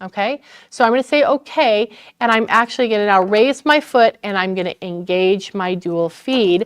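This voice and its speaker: At a moderate pace, a woman with an ordinary speaking voice and a medium pitch uses lively intonation, recorded with a dry, close sound with no echo against a quiet background. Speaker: sewing store instructor. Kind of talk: tutorial. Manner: casual.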